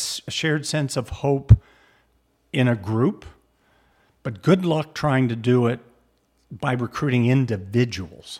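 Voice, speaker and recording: With an American accent, a somewhat breathy man talks at a fairly slow pace in a very clean recording with a silent background. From Southern California. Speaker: sociology professor. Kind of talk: interview conversation.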